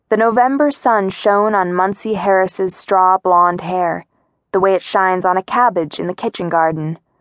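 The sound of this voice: Over a quiet background comes an unforced reading voice, its pitch varying in an ordinary way.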